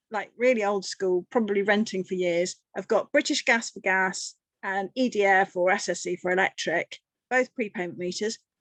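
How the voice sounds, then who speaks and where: A woman's voice with an English accent, dry and close with no echo, over a quiet background. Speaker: energy advice charity worker. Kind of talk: webinar presentation. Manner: fast; animated.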